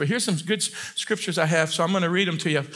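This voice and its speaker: A man with a high pitch uses a raised, projected voice and ordinary pitch variation. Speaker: preacher. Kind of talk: sermon. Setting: church with congregation. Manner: fast talker; animated, loud at times. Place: church.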